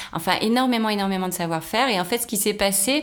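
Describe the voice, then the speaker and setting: A woman at a fairly quick pace, ordinary pitch variation, noticeable background noise. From Brittany, France (Rennes). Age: 40s. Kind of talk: casual interview chat.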